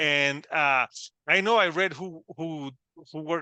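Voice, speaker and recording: Over a quiet background, a man with a Puerto Rican accent talks in a fairly high, bright, sharp voice, the sound dry and close with no echo. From Puerto Rico. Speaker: podcast host. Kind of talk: casual interview. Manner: halting, many fillers and repetitions.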